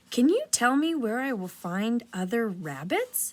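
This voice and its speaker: A woman uses a put-on character voice, fairly high in pitch, at a fairly slow pace. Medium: read story. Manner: eager, earnest.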